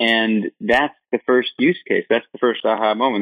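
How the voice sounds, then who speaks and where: Fairly even intonation and a fairly quick pace in an ordinary speaking voice. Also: man. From Michigan, US. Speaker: startup founder and CEO. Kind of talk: interview.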